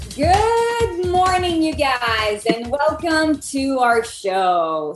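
Very wide pitch swings from a woman, set against noticeable background noise. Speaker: podcast co-host. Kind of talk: casual interview chat.

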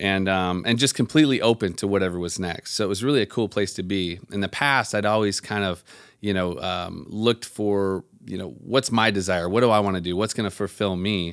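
This is an unremarkable speaking voice, a man's, fairly low in pitch with ordinary pitch variation. He talks at a fairly quick pace in a very clean recording with a silent background. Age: 30s. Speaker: self-employed business owner, former builder. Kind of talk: interview.

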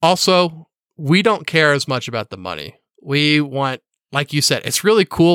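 On a very clean recording with a silent background and a dry, close sound free of echo, a man with an American accent speaks at a moderate pace, his fairly high pitch showing ordinary variation and a bright, sharp tone. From Missouri, US Midwest (Kansas City, St. Louis). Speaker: sports betting podcaster. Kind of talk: casual interview chat.

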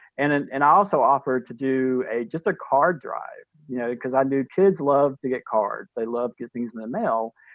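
A man with a North Carolina accent at medium pitch and moderate pace, ordinary pitch variation, hardly pausing at all. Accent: North Carolina Southern. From US South, Durham, North Carolina. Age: 50s. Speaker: pre-K teacher and cancer survivor. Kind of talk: interview, personal storytelling.

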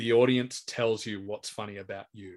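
With an Australian accent, a man keeps to a moderate pace. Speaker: stand-up comedian and compere. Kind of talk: casual chat.

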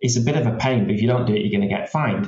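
A man with a medium-pitched, somewhat breathy voice speaks with lively intonation. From Yorkshire, northern England. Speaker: fintech company executive. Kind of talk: podcast interview.

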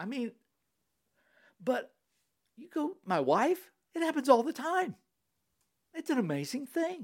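The speaker uses an animated tone at a fairly slow pace, with very wide pitch swings, big swings in loudness, and long, frequent pauses. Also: man. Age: 60s. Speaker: seminary professor. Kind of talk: casual theological discussion. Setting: in person at a host's home. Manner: animated, joking.

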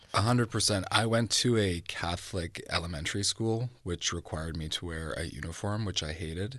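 A man with a Canadian accent speaks at a very deep, low pitch and a fairly quick pace, with hardly any pauses. His pitch variation is ordinary, and the background is quiet. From Vancouver, Canada. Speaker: fashion designer. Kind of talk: interview.

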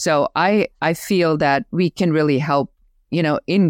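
In a German accent, a woman speaks with a very deep, low pitch and ordinary pitch variation. The sound is dry and close with no echo, a very clean recording over a silent background. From Germany. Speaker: business growth coach. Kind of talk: interview, casual conversation.

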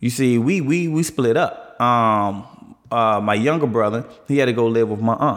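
A man with an American accent uses a normal speaking voice at a moderate pace, with ordinary pitch variation and very even loudness. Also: medium pitch for a man. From Washington DC (south side). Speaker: guest sharing personal experience. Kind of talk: casual chat.

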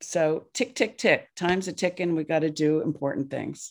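At a moderate pace, a woman with an American accent talks in an ordinary speaking voice. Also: very clean recording, silent background. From New Jersey, US. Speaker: therapist and nonprofit founder. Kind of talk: casual interview chat.

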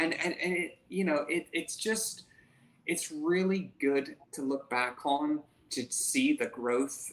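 A voice in an American accent comes through with noticeable background noise. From England, then Southwest Florida from age seven. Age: 20s. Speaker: carpentry business owner. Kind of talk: podcast interview.

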